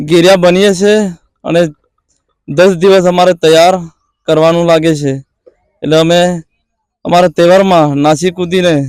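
Very even in loudness and monotone in intonation, a man speaks at a high pitch with a dry, close sound and no echo. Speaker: villager / festival participant. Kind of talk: interview statement. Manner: halting.

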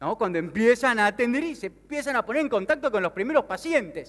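With an Argentine accent, a man talks at a fairly quick pace in an animated tone with very wide pitch swings. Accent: Rioplatense Argentine Spanish. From Argentina, Mar del Plata; Argentina. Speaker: sales speaker and business consultant; speaker. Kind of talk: motivational conference talk. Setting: stage with audience. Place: stage. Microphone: headset.

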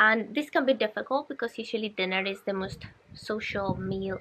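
A woman talks fairly quickly while noticeable noise runs in the background. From Colombia. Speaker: wellness vlogger. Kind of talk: casual vlog talk to camera. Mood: calm, friendly. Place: garden.

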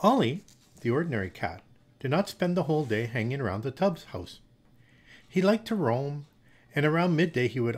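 A man's somewhat breathy voice at a moderate pace, with very wide pitch swings. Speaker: storyteller. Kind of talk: story reading aloud. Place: home room. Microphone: studio mic.

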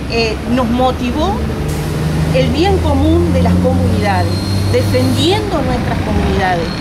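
Heavy background noise runs under speech delivered at a fairly slow pace. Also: woman. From Uruguay, Sarandí Grande (Florida). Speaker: community activist. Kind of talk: interview. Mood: earnest, concerned. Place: street. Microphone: lapel.

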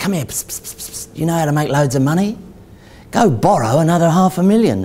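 A put-on character voice in a hissing whisper at a fairly quick pace, over light background noise. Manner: hissing, conspiratorial whisper.

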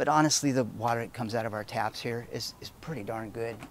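A man talks at a very fast pace, his voice dry with no echo, over light background noise. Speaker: homebrew shop demonstrator. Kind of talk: tutorial. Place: street.

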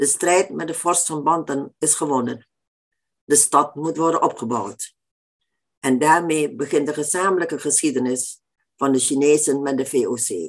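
Against a quiet background, a woman with a very deep, low pitch speaks at a fairly slow pace with ordinary pitch variation. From Indonesia. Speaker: author. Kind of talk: lecture. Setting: stage with audience. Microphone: webcam.

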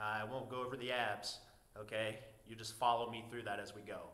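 A man at a moderate pace, monotone and flat in intonation, with audible room echo. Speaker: fitness trainer. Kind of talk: workout tutorial intro. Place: gym. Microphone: camera far.

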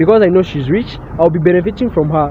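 A man speaks at a very fast pace with a high pitch. The sound is dry with no echo, and there is light background noise. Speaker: interviewee. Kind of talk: interview answer. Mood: playful, joking. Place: street. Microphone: handheld.

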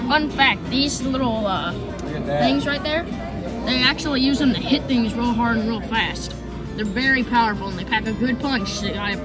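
Clear music plays behind a woman speaking. She talks at a moderate pace with ordinary pitch variation. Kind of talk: casual vlog chat. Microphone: phone near.

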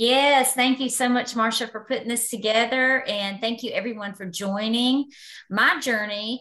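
Against a quiet background, a woman with a high, bright, sharp voice speaks at a moderate pace with fairly even intonation. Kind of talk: personal testimony on group call. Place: home room. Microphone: video call.

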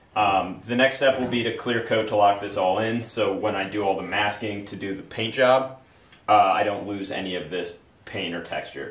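In a room with audible echo, a man speaks at a fairly quick pace and fairly low pitch with ordinary pitch variation. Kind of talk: tutorial. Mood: enthusiastic, pleased. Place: home room. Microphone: camera far.

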